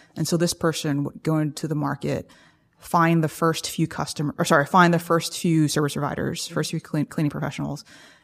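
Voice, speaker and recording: A woman with an American accent speaks in a very deep, low pitch with vocal fry and a monotone, flat intonation. The recording is very clean, with a silent background. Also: fairly quick pace. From US South, South Carolina. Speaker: startup investor and former founder. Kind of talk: casual interview.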